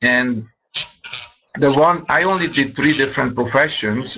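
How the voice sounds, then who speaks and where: A man with a Hungarian accent, medium in pitch, at a moderate pace with ordinary pitch variation. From Hungary. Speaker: business presenter. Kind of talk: sales pitch.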